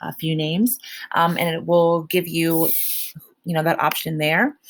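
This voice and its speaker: Her pitch sits fairly low. The woman talks at a moderate pace. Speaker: teacher. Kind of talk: tutorial. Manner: casual, hesitant with many fillers; loud.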